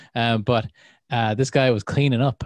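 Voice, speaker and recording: Speaking in an Irish accent at a fairly quick pace, a man shows ordinary pitch variation against a quiet background. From Ireland. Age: 30s. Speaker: podcast host. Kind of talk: casual chat. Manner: animated.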